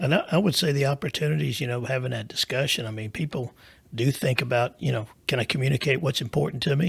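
A man speaks at a very fast pace, his voice medium-pitched and showing vocal fry. The sound is dry and close with no echo, and his pitch varies in an ordinary way. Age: 50s. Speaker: financial planner. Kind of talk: casual chat.

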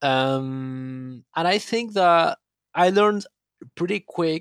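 A man with a Spanish accent speaks at a fairly high pitch with very wide pitch swings, in a very clean recording that is dry and close, with a silent background and no echo. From Argentina, Buenos Aires. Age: 20s. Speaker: techno producer and DJ. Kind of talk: interview.

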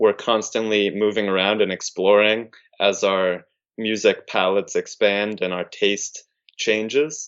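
Fairly low male voice, fairly slow in pace, with fairly even intonation. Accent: American. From California, Big Sur. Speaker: spiritual speaker and musician. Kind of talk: casual chat.

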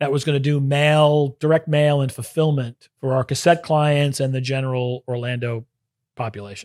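A man with an American accent has a plain, everyday voice that is fairly high in pitch, with fairly even intonation. He speaks at a moderate pace, and the sound is dry and close with no echo. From Brooklyn, New York. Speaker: venture capital investor. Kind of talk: interview.

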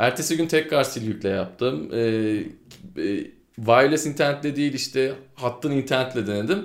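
In an ordinary speaking voice of medium pitch, a man talks at a moderate speed with ordinary pitch variation. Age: 20s. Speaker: gaming podcast co-host. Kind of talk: casual chat.

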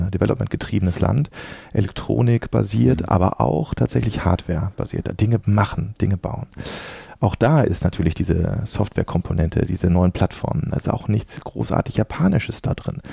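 A man with a very deep, low voice swings very widely in pitch. He moves at a fairly quick pace against noticeable background noise. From Dortmund, Ruhr area, Germany. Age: 40s. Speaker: venture capital investment manager. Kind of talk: podcast interview.

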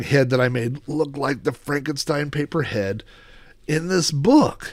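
A man with an unremarkable speaking voice talks at a fairly slow pace and a fairly high pitch, with ordinary pitch variation, on a very clean recording with a silent background. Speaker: YouTuber collector. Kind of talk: unscripted solo monologue. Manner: casual with many fillers.

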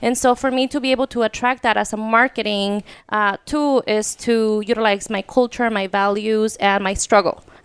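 At a moderate pace, a woman with a fairly high pitch and a Spanish accent speaks with fairly even intonation. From Mexico. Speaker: wine brand owner. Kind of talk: casual interview chat.

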